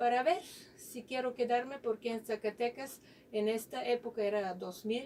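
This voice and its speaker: A woman with a non-native accent talks at a moderate pace in a high, dark, mellow voice with ordinary pitch variation. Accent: foreign, non-local accent in Spanish. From Bulgaria. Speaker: physicist, university researcher. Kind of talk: radio interview. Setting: radio studio.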